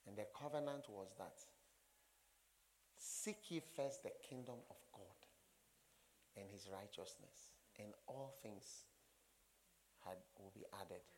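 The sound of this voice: Speaking at a slow pace with long, frequent pauses, a man uses a fairly low pitch, ordinary pitch variation and a slightly mellow tone.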